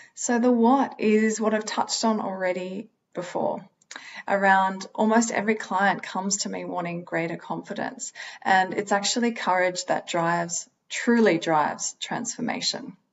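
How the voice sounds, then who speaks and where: With an Australian accent, a woman speaks at a moderate pace. Her medium pitch shows ordinary variation. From Australia, Sydney. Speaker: holistic psychologist, speaker. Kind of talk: motivational talk.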